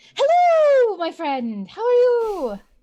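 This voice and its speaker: In an excited tone, a woman performs a put-on character voice at an extremely high pitch with very wide pitch swings. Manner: happy, excited, chatty.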